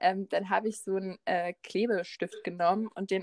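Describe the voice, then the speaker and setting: A woman with an unremarkable speaking voice talks at a medium pitch and a moderate pace, her intonation fairly even. The sound is dry and close, with no echo. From Berlin. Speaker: podcast co-host. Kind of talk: casual chat.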